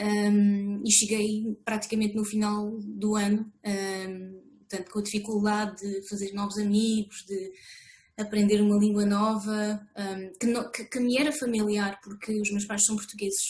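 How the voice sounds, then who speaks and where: Somewhat breathy, the voice moves at a fairly slow pace with monotone, flat intonation. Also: woman, medium pitch for a woman. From France. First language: French (speaking Portuguese). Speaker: author. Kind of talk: interview. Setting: video call. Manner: hesitant, many fillers.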